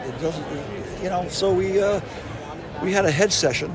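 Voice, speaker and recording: A man speaks with a Boston accent. The recording carries audible room echo and noticeable background noise. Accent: Boston-area. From New England (near Boston). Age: 70s. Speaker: yo-yo company founder. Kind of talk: interview storytelling. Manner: halting, many fillers.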